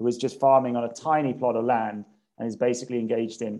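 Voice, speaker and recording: In a southern English accent, a man speaks fairly quickly at a medium pitch, his dark, mellow tone delivered with monotone, flat intonation. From England, Cambridge. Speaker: policy analyst. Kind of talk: interview. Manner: halting, with repetitions.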